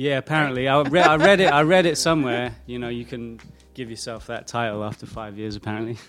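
Talking very fast with a British accent, a man at a medium pitch shows ordinary pitch variation and big swings in loudness. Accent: British accent, often mistaken for Australian. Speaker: music producer. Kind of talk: interview. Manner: casual, relaxed.

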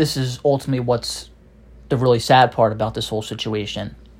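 On a very clean recording with a silent background, an animated man talks at a fairly quick pace in a somewhat breathy, medium-pitched voice. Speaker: podcast host. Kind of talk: angry rant about a film franchise, solo monologue, ranting heatedly. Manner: frustrated, exasperated, animated; casual, rambling with many fillers.

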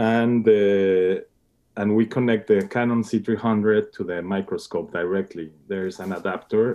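A man with a Spanish accent talks with fairly even intonation. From Mexico. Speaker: cinematographer. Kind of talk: interview. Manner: halting.

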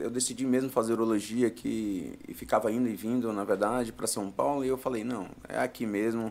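At a moderate pace, a man talks in a plain, everyday voice at a medium pitch with ordinary pitch variation. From Brazil, Piauí (Floriano). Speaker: urologist. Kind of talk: live podcast interview. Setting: studio.

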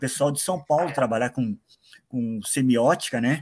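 An ordinary speaking voice, this man talks at a fairly quick pace with a medium pitch and ordinary pitch variation. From Paraná, Brazil. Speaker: listener, comics fan. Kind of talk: casual chat. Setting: video call.

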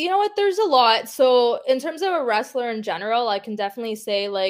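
In a Canadian accent, a woman with an unremarkable speaking voice talks at a fairly quick pace and fairly high pitch, with ordinary pitch variation. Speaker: professional wrestler. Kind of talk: interview.

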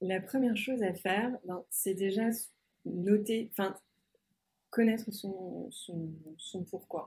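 A woman speaks at a very slow pace with long, frequent pauses, her intonation fairly even. Her medium-pitched voice has a dark, mellow tone and is somewhat breathy. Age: 40s. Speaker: marketing executive and podcaster. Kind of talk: interview. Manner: halting, many repetitions and fillers.

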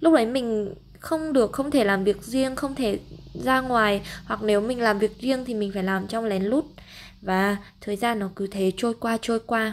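In a plain, everyday voice, a woman speaks at a fairly slow pace with a fairly high pitch and ordinary pitch variation. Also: very clean recording, silent background. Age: 20s. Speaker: travel podcaster and freelance marketer. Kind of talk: solo podcast monologue.

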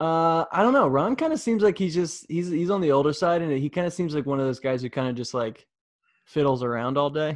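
A man with an American accent talks at a fairly quick pace in an ordinary speaking voice, fairly high in pitch. His pitch varies in an ordinary way, and the background is quiet. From New York. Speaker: podcast host. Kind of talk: casual chat.

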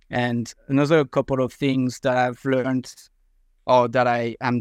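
A man with a French accent speaks in a monotone, flat way at medium pitch and a moderate pace, the sound dry and close with no echo against a quiet background. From France. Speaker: mowing franchisee. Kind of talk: casual interview.

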